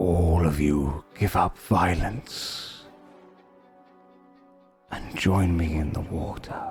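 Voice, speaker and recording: A man performs a put-on character voice, very deep and low in pitch. He speaks at a very slow pace over faint music in the background. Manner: eerie, persuasive.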